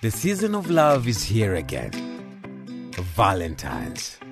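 The man's voice sounds dry with no echo, and clear music plays in the background. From Kenya. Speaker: voice actor. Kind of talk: radio commercial read. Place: studio. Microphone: studio mic.

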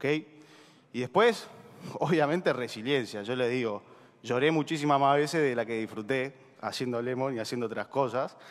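A man with an Argentine accent talks at a moderate pace and medium pitch. His pitch variation is ordinary, and he leaves long, frequent pauses. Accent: Rioplatense Argentine Spanish. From Argentina. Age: 20s. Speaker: startup co-founder; speaker. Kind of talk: motivational talk. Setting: stage with audience. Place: stage.

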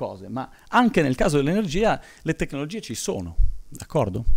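A man's voice swings very widely in pitch and has vocal fry, set against a quiet background. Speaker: engineering professor, solar materials expert; university lecturer. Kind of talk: conference talk. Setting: conference hall with audience. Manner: hesitant, many fillers; fast. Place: hall. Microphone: podium.

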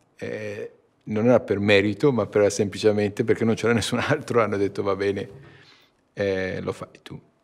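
A man with a fairly low pitch speaks at a moderate pace, taking long, frequent pauses. His intonation is fairly even, his loudness swings widely, and the background is quiet. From Iran. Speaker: company CEO. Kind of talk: interview. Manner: halting. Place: meeting room.

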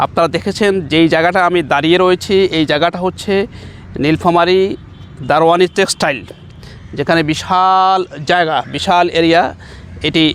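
Through noticeable background noise, a man with a high pitch speaks in a monotone, flat intonation at very even loudness. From Bangladesh, Nilphamari (northern Bangladesh). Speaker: Islamic scholar and madrasa principal. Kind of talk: public appeal to camera. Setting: outdoors on site.

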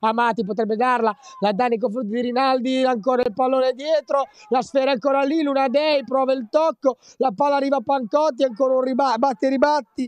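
Dry and close with no echo, a man's extremely high voice moves at a fairly quick pace with fairly even intonation and very even loudness. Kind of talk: sports commentary. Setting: live match commentary.

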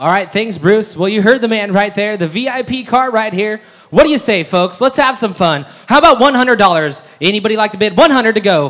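A loud, animated man with lively intonation and a high pitch against a quiet background. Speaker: auctioneer. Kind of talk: auction patter. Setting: stage with audience. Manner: fast talker. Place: hall. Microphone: pa.

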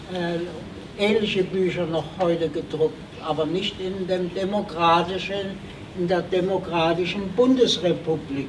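The speech moves at a fairly slow pace with fairly even intonation, over noticeable background noise. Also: man, high pitch for a man. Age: 80s+. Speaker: Holocaust survivor, witness speaker. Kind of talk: lecture to school students.

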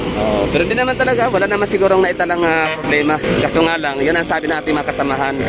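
Loud background noise sits behind a man talking at a very fast pace, the sound dry with no echo. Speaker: travel vlogger. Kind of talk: casual vlog chat. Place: street. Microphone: phone near.

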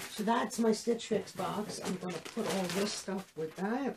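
Noticeable background noise accompanies a woman speaking at a fairly slow pace. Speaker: clothing haul vlogger. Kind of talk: casual vlog chat. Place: home room.

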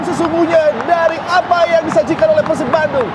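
The speech moves at a fairly quick pace. Crowd noise sounds in the background. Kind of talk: live football commentary. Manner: excitable play-by-play, loud and fast, bursting into exclamations at chances and goals.

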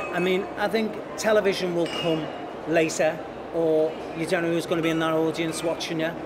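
A man with a Liverpool accent at a fairly quick pace, amid noticeable background noise. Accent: Liverpool (Scouse) English. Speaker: TV director and former actor. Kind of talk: casual interview chat. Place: cafe.

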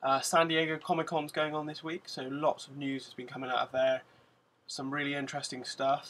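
A man with a British accent, fairly high pitch and monotone, flat intonation. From UK. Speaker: vlogger. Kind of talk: casual vlog monologue to camera. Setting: in front of a camera, at home. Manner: monotone, mundane delivery; hesitant, many fillers. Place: home room. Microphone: webcam.

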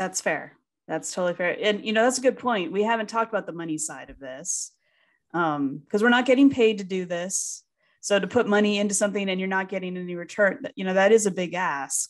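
A woman's plain, everyday voice at a fairly quick pace, with lively intonation and big swings in loudness. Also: medium pitch for a woman, quiet background. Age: 30s. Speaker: podcast co-host, speech teacher; podcast co-host. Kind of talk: casual chat. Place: home room. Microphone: studio mic.

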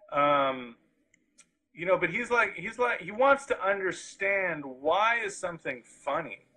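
A raised, projected voice with a bright, sharp tone swings very widely in pitch. It moves at a fairly slow pace against a quiet background. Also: man, high pitch for a man. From Hawaii. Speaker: street artist; guest. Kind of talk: interview. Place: studio. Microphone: video call.

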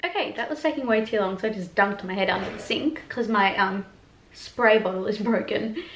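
With light background noise and audible room echo, a woman speaks at a medium pitch with ordinary pitch variation. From Australia. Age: 20s. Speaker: YouTuber and performer; YouTuber. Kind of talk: casual vlog chat. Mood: warm, chatty, open. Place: home room. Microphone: camera far.

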